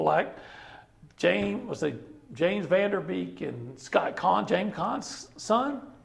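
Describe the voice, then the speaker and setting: An animated man with an American accent at a fairly slow pace, with audible room echo. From East Texas. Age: 50s. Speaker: sportswriter. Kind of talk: casual chat. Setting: barbecue restaurant. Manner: animated storytelling.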